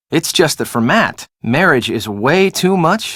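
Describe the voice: Doing a put-on character voice, a man speaks fairly slowly at a fairly high pitch with big pitch swings, a fairly bright tone and a slightly husky edge, on a very clean recording with a silent background.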